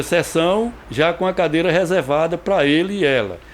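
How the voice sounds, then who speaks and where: Against noticeable background noise, a man speaks with a high pitch and ordinary pitch variation. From Brazilian Northeast (Rio Grande do Norte / Paraíba). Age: 60s. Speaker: actor and playwright. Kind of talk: biographical interview. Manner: halting, with repetitions.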